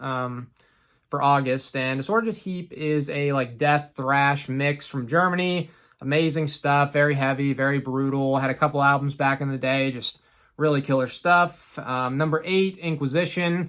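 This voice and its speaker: A man with a normal speaking voice, fairly high in pitch, at a moderate pace with ordinary pitch variation, on a very clean recording with a silent background. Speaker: metal music YouTuber. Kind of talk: casual video monologue. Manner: casual, many fillers.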